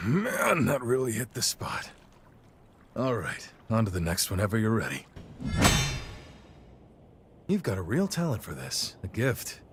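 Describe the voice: Faint music plays behind a man doing a put-on character voice with a husky, rough edge. His fairly low pitch swings very widely at a fairly slow pace, with long, frequent pauses.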